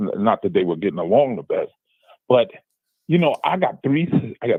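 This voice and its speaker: A man speaks with a New York accent. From Brooklyn, New York. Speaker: caller. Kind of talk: phone-in question.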